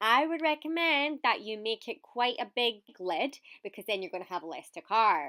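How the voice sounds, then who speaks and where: A woman with a Scottish accent and a bright, sharp tone, fairly high-pitched with very wide pitch swings, at a moderate pace, in a dry, close sound with no echo. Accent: mild Scottish. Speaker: video presenter. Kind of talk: tutorial. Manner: animated.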